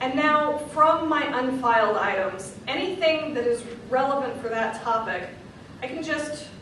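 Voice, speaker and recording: Through noticeable background noise and audible room echo, a woman talks at a fairly slow pace with ordinary pitch variation. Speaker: librarian. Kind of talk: lecture.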